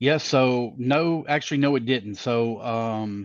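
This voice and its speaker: With ordinary pitch variation, a man talks in a Southern US accent. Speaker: race director and announcer. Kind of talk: interview. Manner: folksy.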